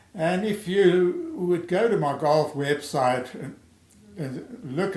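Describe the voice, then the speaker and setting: The voice moves at a very slow pace with ordinary pitch variation and audible room echo. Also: man. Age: 70s. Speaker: amateur golf theorist, video creator. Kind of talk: personal video introduction to camera. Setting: home recording via webcam. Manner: halting, with self-corrections.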